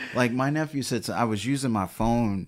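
A man with an American accent and an unremarkable speaking voice, medium pitch and moderate pace, on a very clean recording with a silent background. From US Midwest (Detroit). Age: 40s. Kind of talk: casual chat.

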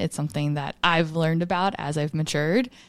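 An ordinary speaking voice moves at a fairly quick pace against a quiet background. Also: woman. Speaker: fitness coach and podcast co-host. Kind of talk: casual chat.

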